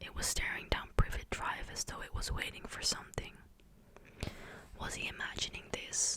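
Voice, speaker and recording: The speaker is a woman. She whispers over noticeable background noise. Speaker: ASMR creator. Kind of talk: whispered ASMR book reading. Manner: whispered, soft, close-mic.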